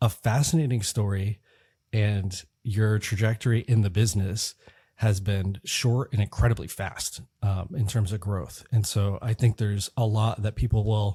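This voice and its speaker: Somewhat breathy and dark, mellow in tone, the voice moves at a moderate pace with fairly even intonation in a very clean, dry, close recording with no echo and a silent background. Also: man. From San Francisco. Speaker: podcast host. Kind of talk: interview.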